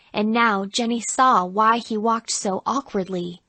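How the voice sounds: The voice reads in a natural way. Nothing about the reading sounds put on.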